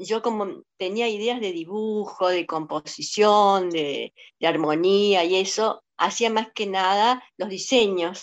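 A very slow pace from a woman, her pitch varying in an ordinary way. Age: 70s. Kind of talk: interview.

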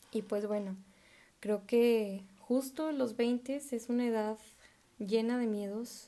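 Very slowly, a woman speaks in a dark, mellow tone at a fairly high pitch. Her intonation stays fairly even. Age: 20s. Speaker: podcaster. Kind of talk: casual monologue.

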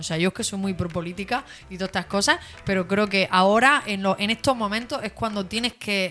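A woman with an unremarkable speaking voice at a fairly quick pace. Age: 20s. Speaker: radio co-host. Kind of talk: casual chat.

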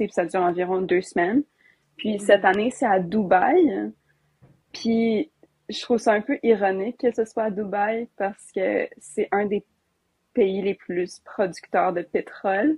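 A woman's somewhat breathy, medium-pitched voice at a fairly slow pace, with ordinary pitch variation and long, frequent pauses. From Alberta, Canada. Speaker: youth climate activist. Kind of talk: casual interview chat.

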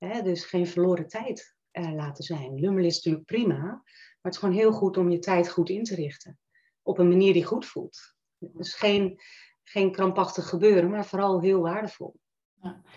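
A woman talks with a dark, mellow tone and fairly even intonation. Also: medium pitch for a woman, moderate pace. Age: 50s. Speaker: coach. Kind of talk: interview. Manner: hesitant, many fillers.

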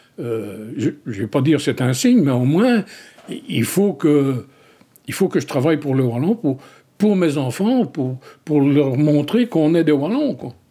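In a very clean recording with a silent background, a man with a dark, mellow tone and fairly high pitch speaks at a fairly slow pace with lively intonation and long, frequent pauses. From Wallonia, Belgium (rural village). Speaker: dialect poet. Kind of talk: interview.

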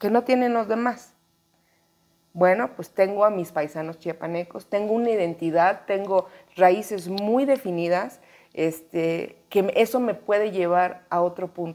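A woman's medium-pitched voice, dark and mellow in tone, with ordinary pitch variation and a fairly slow pace. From Mexico, Chiapas. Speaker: actress. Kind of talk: interview conversation. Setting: apartment in Mexico City.

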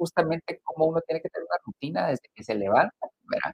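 This man is recorded with a dry, close sound and no echo at all. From Guatemala. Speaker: spa business executive. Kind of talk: interview conversation.

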